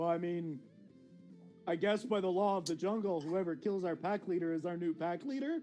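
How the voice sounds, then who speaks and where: A put-on character voice from a man, high-pitched and fairly quick, with clear music in the background. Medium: actual play. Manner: eager, simple, loyal.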